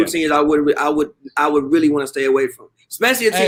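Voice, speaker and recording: A fairly high-pitched male voice at a very fast pace. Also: ordinary pitch variation. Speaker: sports talk show panelist. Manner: fast talker.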